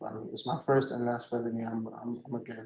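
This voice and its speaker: Flat, monotone intonation from a man, with audible room echo. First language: Spanish. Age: 20s. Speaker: defendant. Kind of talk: court testimony. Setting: courtroom. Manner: halting; quiet.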